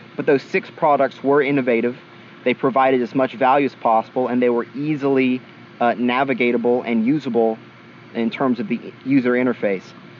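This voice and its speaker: At a fairly quick pace, a man with a medium pitch speaks with fairly even intonation over noticeable background noise. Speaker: podcast co-host. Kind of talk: casual podcast chat. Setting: podcast recording. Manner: fast.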